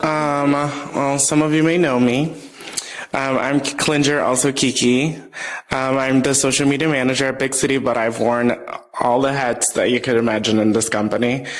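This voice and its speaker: A man at medium pitch and a moderate pace, with very even loudness, fairly even intonation, noticeable background noise and audible room echo. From Brazil. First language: Portuguese. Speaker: volleyball player and social media manager. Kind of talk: casual chat.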